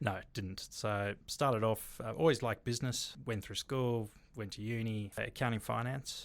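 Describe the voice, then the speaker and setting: On a very clean recording with a silent background, a man talks at a moderate pace in a fairly low pitch. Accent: slight South African. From South Africa. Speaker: bar and restaurant developer. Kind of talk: interview.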